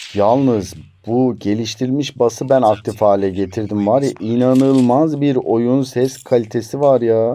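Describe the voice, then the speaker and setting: A man speaks at a medium pitch and a fairly slow pace, with hardly any pauses. His tone is dark and mellow. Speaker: tech reviewer. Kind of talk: product review. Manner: animated.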